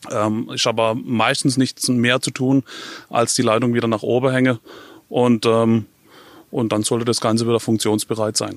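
A Baden accent at a moderate pace, with long, frequent pauses, flat, monotone intonation, and a dry, close, echo-free sound on a very clean recording with a silent background. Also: man, medium pitch for a man. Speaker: telecom engineer. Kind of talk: interview. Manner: halting, many fillers.

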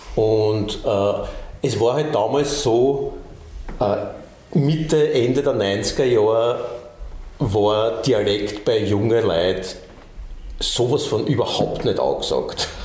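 A man talks at a very slow pace with long, frequent pauses and very even loudness. Noticeable background noise and audible room echo fill the recording. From Austria. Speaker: bandleader and musician. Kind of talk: casual interview chat. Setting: recording studio.

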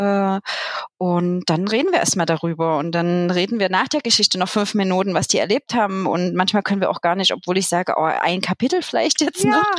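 In an unremarkable speaking voice, someone talks at a fairly quick pace with very even loudness and ordinary pitch variation. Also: woman, medium pitch for a woman. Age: 40s. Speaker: childminder and social pedagogue. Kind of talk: casual interview.

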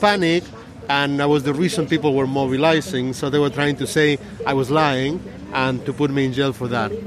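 Noticeable background noise sits behind a man talking at a fairly quick pace. His pitch variation is ordinary. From Argentina. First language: Spanish. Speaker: scientist and environmental activist. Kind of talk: interview. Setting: outdoors, sitting on a low wall in a park at a protest.

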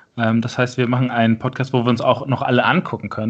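A man talks at a very fast clip. His intonation stays flat and monotone. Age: 30s. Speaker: amateur football coach and podcast host. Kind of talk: casual chat.

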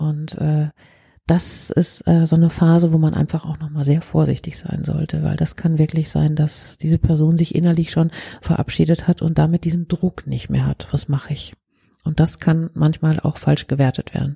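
A woman's very deep, low voice, dark and mellow, somewhat breathy, flat and monotone at a moderate pace, in a dry, close sound with no echo. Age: 50s. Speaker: crisis counselling centre head. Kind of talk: interview.

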